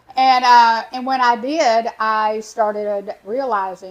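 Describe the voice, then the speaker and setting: A woman talks with a Texan accent. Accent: Texan US Southern. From Texas. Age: 60s. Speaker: animal sanctuary founder. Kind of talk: interview. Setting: studio.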